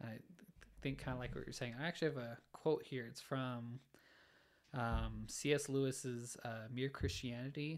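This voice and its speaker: A man speaks with a Utah accent. His medium-pitched voice stays monotone and flat. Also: moderate pace. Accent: Utah American English. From Utah, Orem. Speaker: engineering student. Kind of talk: casual chat. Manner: halting.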